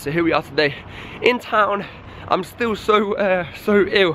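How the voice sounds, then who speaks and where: A man speaks with an East Midlands accent. Noticeable background noise runs under his voice. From Leicester, England. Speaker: busker and singer-songwriter. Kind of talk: vlog narration. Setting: in a car then walking outdoors.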